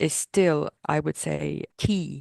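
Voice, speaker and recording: Against a quiet background, a woman speaks at a fairly low pitch in a dry, close sound with no echo. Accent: French. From Corsica, France. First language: French. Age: 40s. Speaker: purchasing department leader. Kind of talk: interview.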